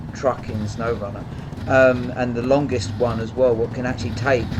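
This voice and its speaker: A man with a British accent speaks at a medium pitch over noticeable background noise. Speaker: gaming YouTuber. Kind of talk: gameplay commentary. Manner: soft-spoken.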